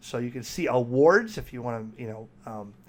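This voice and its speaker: A man with a plain, everyday voice, ordinary pitch variation and a moderate pace, in a very clean recording with a silent background. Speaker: ham radio operator and YouTuber. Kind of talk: software walkthrough tutorial.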